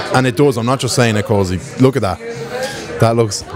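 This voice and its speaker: Crowd noise sits behind a man whose voice sounds dry with no echo. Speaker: vlogger visiting a pub. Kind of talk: casual vlog chat. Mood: excited, playful. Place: bar. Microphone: handheld.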